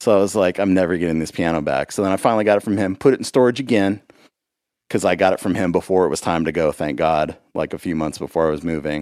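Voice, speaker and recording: Very deep and low in pitch, a man with an American accent speaks at a very fast pace with ordinary pitch variation in a very clean recording with a silent background. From Los Angeles, California. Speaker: musician and podcast host. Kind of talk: casual chat.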